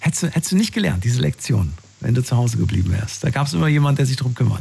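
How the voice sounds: A man's fast, medium-pitched voice with a husky, rough edge, vocal fry, big pitch swings and a slightly mellow tone.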